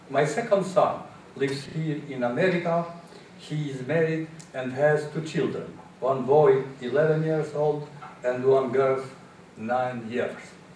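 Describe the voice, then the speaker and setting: A man with an Albanian accent speaks at a fairly slow pace, with long, frequent pauses, a fairly high pitch and ordinary pitch variation. Noticeable background noise and audible room echo fill the recording. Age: 70s. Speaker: English learner, immigrant. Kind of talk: prepared speech. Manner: halting.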